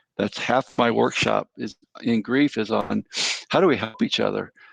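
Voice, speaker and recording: The speaker is a man at a moderate pace. The sound is dry and close, with no echo. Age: 60s. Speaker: counselor and professor. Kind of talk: interview.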